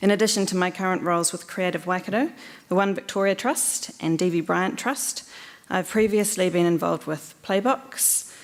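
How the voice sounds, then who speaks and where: Here a woman speaks at a medium pitch with a New Zealand accent. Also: ordinary pitch variation, moderate pace. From New Zealand, Hamilton. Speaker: election candidate, commercial lawyer. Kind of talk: candidate speech.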